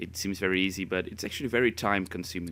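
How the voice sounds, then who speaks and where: Talking at a very fast pace with a slight non-native accent, a man has a very deep, low pitch, a bright, sharp tone, and monotone, flat intonation. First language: Spanish. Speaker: gaming youtuber. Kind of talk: casual chat. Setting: voice-over recording. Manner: halting.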